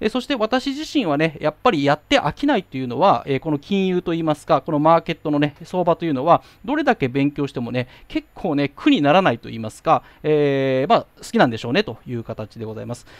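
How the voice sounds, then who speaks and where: A man with a normal speaking voice at a fairly quick pace, lively intonation and big swings in loudness, in a dry, close sound with no echo. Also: fairly high pitch for a man. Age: 40s. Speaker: YouTuber explaining FX markets, financial company employee. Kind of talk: casual solo monologue. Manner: polite, filler-heavy.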